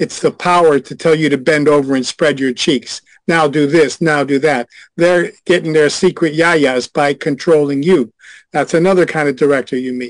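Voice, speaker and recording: An unremarkable speaking voice from a man at a fairly high pitch, moderate in pace, with fairly even intonation and a dry, close sound with no echo. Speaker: former adult industry insider. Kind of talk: casual chat. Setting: video call.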